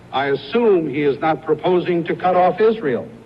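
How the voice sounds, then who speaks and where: At a fairly slow pace, a high-pitched man talks with ordinary pitch variation against noticeable background noise. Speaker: politician. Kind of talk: campaign speech.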